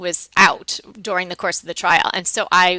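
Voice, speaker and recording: A woman with a New York accent at a moderate pace, noticeable background noise behind her. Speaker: decorating blogger and co-host, former trial lawyer. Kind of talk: casual chat.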